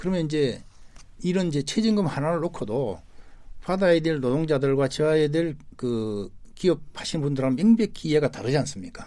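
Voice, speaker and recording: A man with an unremarkable speaking voice talks at a fairly quick pace, his fairly high pitch rising and falling with lively intonation. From South Korea, Gyeongnam (Hamyang). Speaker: labor leader, government commission chair. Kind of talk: radio interview.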